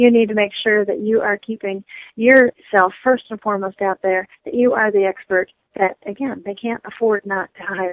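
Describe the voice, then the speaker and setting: A woman's plain, everyday voice at medium pitch, fairly even in intonation, at a moderate pace, with big swings in loudness and a dry, close sound with no echo. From US Midwest, Michigan. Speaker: human resources consultant and business lecturer. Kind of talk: interview.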